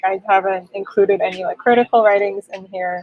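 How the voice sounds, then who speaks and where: In a dry, close sound with no echo, a woman speaks at a medium pitch with ordinary pitch variation. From South Korea, later Canada. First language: Korean. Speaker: poet and translator. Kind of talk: interview.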